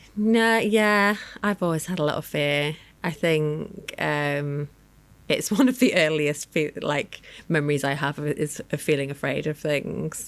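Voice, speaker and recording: A woman speaks at a fairly slow pace in a very deep, low voice, her intonation lively. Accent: Lancashire. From northern England, Lancashire. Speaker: research director and end-of-life doula. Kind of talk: interview conversation. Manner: hesitant, many fillers.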